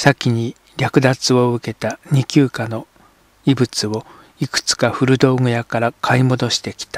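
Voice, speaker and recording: The pace of this man's speech is fairly slow. The sound is dry and close, with no echo. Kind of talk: literary audiobook reading, scripted narration of a translated novel. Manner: steady, measured, even narrator's pace with formal literary diction.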